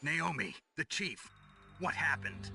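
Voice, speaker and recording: In a put-on character voice, a man talks at a moderate pace with a fairly high pitch and very wide pitch swings, the sound dry and close with no echo and faint music in the background. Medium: video game.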